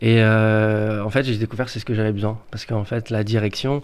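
Pitched fairly low, a man talks at a moderate pace. His intonation is monotone and flat. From Paris suburbs, France. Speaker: youth educator. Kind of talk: radio interview. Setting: radio studio. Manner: halting.

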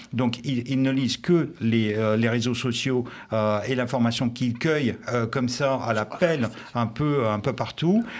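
Here a man speaks at medium pitch and a moderate pace. His pitch varies in an ordinary way. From Russia. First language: Russian (speaking French). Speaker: journalist and former intelligence officer. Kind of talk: live radio debate.

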